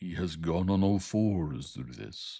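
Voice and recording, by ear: A man's put-on character voice, very deep and low in pitch, with lively intonation at a fairly slow pace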